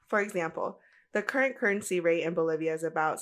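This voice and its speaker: On a very clean recording with a silent background, a woman with a Spanish accent and a fairly low pitch speaks fairly quickly in an animated tone with ordinary pitch variation. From United States. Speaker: travel podcaster. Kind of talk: podcast monologue.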